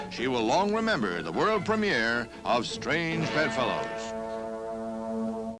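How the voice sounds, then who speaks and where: A man talks in an upbeat tone with very wide pitch swings. Music plays in the background. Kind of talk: newsreel narration.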